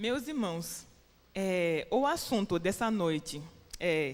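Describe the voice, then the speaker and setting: A woman speaks with lively intonation. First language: French or English (Portuguese learned in Brazil) (speaking Portuguese). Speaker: preacher. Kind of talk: sermon. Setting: church. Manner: halting.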